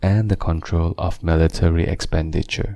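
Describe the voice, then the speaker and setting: A soft-spoken man talks in a gentle, dark, mellow tone. His pace is fairly slow and his intonation monotone and flat. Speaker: narrator. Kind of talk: relaxing audiobook reading. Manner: gentle, soft-spoken.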